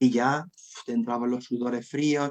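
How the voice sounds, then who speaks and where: Speaking in a medium pitch, a man delivers his words with monotone, flat intonation. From Spain, Jaén (Andalusia). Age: 40s. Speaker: storyteller. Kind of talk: interview. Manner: halting, with repetitions; casual, colloquial.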